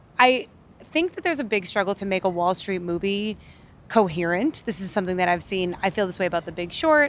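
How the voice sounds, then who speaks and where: A woman talks very fast in an American accent, her intonation lively. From Massachusetts, Worcester. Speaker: film critic. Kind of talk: casual film review chat.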